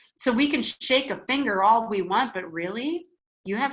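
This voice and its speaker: Here a woman speaks with a Wisconsin accent. Her pitch is fairly high and her pace moderate. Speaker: spiritual teacher. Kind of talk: online class talk reading viewer comments. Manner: conversational, frequent fillers.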